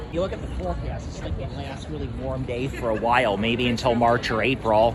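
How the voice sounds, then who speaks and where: A man's medium-pitched voice with very wide pitch swings and a fairly quick pace, plus audible room echo and noticeable background noise. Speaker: vlogger. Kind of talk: casual chat. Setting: outdoors. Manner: loud.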